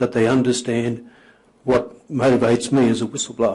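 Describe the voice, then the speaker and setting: A man with a medium pitch keeps a moderate pace, his intonation monotone and flat. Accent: Australian. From Australia, Queensland (Maryborough). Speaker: whistleblower, former trade union organiser. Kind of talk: formal testimony before a committee. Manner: formal, prepared with some hesitations.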